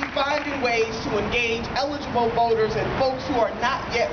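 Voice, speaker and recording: Speech at a moderate pace competes with loud noise in the background. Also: woman. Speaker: politician. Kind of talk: rally speech. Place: street. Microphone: podium.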